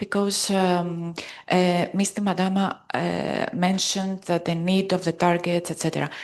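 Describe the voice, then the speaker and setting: With a Greek accent, a woman speaks fairly slowly in a medium-pitched voice, her intonation fairly even. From Greece. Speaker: conference participant. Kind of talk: audience question at conference.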